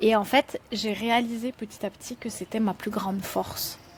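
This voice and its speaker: There is noticeable background noise behind this woman. She speaks at a fairly high pitch with fairly even intonation. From France. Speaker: entrepreneur and children's author. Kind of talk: podcast interview. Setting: outdoors on a porch. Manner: conversational, many fillers.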